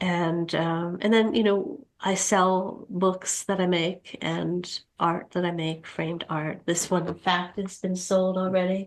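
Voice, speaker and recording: Medium-pitched female speech, very slow yet with hardly any pauses. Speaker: author and writing instructor. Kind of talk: interview. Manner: halting, hesitant.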